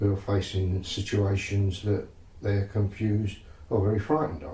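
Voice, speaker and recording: Speaking at a moderate pace with an East London accent, a man has a fairly low, dark, mellow voice that is somewhat breathy, with ordinary pitch variation. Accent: East End London. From London East End. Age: 70s. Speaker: psychotherapist. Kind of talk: interview.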